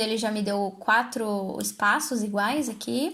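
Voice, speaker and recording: Fairly high in pitch, a woman talks in a normal speaking voice with fairly even intonation. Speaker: design tutorial creator. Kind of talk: tutorial. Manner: casual.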